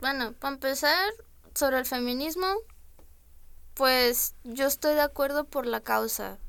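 Pitched high, a woman speaks at a fairly slow pace with long, frequent pauses. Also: ordinary pitch variation. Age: 20s. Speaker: freelance illustrator. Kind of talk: interview.

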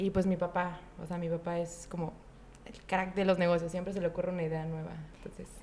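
Speaking at a fairly quick pace, a woman keeps a fairly low pitch and a monotone, flat intonation. Her loudness swings widely. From Mexico, Chiapas. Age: 20s. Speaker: entrepreneur and student. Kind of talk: casual interview.

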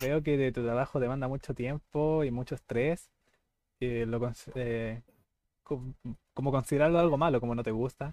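A man's medium-pitched, dark, mellow voice in a Chilean accent, at a moderate pace with fairly even intonation and a dry, close sound with no echo. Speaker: podcast host. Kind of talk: casual chat.

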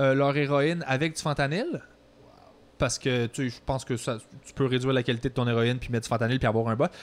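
A man with a Quebec accent at medium pitch, talking at a very fast pace with fairly even intonation and big swings in loudness. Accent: Québécois French. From Quebec (Longueuil). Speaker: podcast host. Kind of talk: casual chat.

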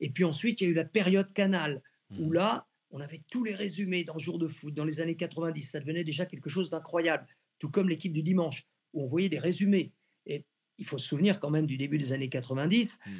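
A man's fairly high-pitched, ordinary speaking voice, with ordinary pitch variation and a fairly quick pace. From Brittany, France (near Rennes). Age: 60s. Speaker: sports journalist and football commentator. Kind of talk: radio interview.

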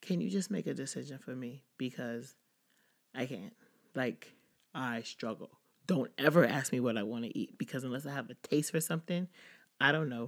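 Animated in tone, a woman with a very deep, low pitch speaks at a moderate pace with lively intonation, big swings in loudness and long, frequent pauses. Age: 30s. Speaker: podcast host, social worker. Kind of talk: casual solo talk.

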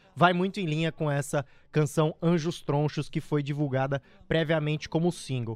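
A man talks in an animated tone at a moderate pace. His pitch is fairly high. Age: 20s. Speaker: radio host. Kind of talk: radio show.

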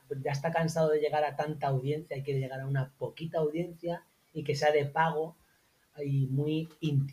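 Somewhat breathy and fairly high-pitched, a man speaks with fairly even intonation. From Spain, La Mancha (Albacete). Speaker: copywriter and online marketer. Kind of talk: casual interview.

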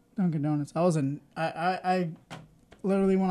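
Moving at a fairly quick pace, a man speaks in a high pitch with a dark, mellow tone. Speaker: podcast co-host. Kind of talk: casual chat. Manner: mumbling.

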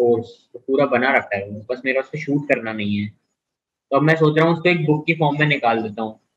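The tone is bright and sharp. The pitch varies in an ordinary way. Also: man. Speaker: podcast host. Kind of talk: casual chat.

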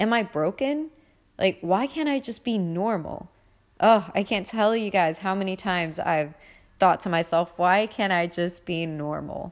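On a very clean recording with a silent background, a woman speaks at a medium pitch and a fairly slow pace with lively intonation, a plain, everyday voice. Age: 30s. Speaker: podcast host. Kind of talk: casual monologue.

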